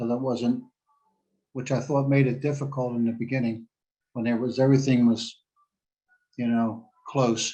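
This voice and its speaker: Taking long, frequent pauses, a man with a dark, mellow tone and medium pitch speaks at a moderate pace in monotone, flat intonation. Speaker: remote meeting participant. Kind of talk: public comment. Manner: loud; halting.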